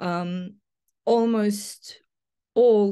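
Against a quiet background, the intonation stays fairly even. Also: woman. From Bosnia and Herzegovina. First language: Bosnian/Serbo-Croatian. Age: 50s. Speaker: literary theorist and professor. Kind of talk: interview conversation. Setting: in person at her home city. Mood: reflective, earnest. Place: home room. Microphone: video call.

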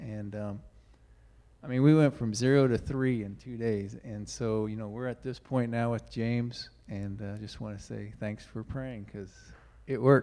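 At a moderate pace, a man talks in a dark, mellow tone with fairly even intonation and big swings in loudness. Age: 50s. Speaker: congregation member. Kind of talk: church announcements. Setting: church. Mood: grateful, relaxed. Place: church. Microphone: handheld.

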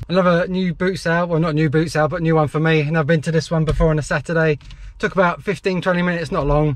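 This man's delivery is very fast. The intonation stays monotone and flat throughout. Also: dry sound with no echo. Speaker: reseller vlogger. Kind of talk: casual vlog chat. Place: car. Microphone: phone near.

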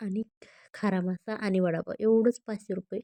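A woman speaks with a dark, mellow tone and little pitch movement. The sound is dry and close, with no echo.

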